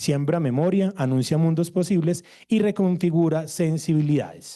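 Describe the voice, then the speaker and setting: A dark, mellow tone over a quiet background. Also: man, fairly high pitch for a man, fairly even intonation, moderate pace. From Colombia. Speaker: theatre researcher. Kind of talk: conference presentation.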